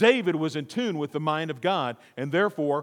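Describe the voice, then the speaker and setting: A man's plain, everyday voice: fairly high pitch, lively intonation and moderate pace. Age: 50s. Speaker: pastor. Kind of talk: sermon.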